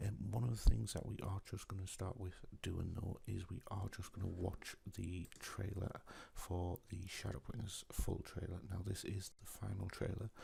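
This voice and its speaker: A soft-spoken man with a British accent has a very deep, low pitch and a dark, mellow tone. He sounds somewhat breathy, his intonation fairly even. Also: moderate pace. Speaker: gaming YouTuber. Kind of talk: casual video commentary. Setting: at home at night. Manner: quiet.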